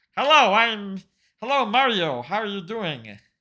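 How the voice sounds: A put-on character voice, nasal and fairly high in pitch, at a moderate pace on a very clean recording with a silent background.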